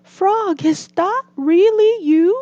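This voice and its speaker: A woman uses a squeaky put-on character voice pitched extremely high. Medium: read story.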